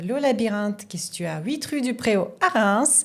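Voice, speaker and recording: The pace is moderate. A woman talks at a medium pitch. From Russia. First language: Russian (speaking French). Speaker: sommelier, former surgeon. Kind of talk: podcast interview. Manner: hesitant, frequent fillers.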